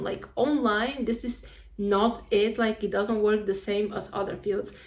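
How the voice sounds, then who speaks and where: The speaker has a Spanish accent. The intonation is flat and monotone. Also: woman. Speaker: vlogger, university student. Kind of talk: casual vlog monologue. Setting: at home.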